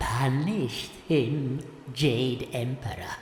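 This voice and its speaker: Someone performs a put-on character voice at a low-to-middle pitch, with clear background noise and slight echo. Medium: audio drama. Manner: wheedling, sly.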